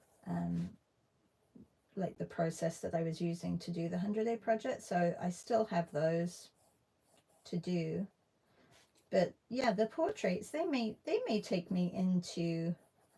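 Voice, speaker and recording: A woman speaks at a fairly slow pace with long, frequent pauses and ordinary pitch variation. Her voice is fairly low, dark and mellow, and somewhat breathy. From UK. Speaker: artist. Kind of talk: live stream art session chat. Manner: casual, hesitant with fillers.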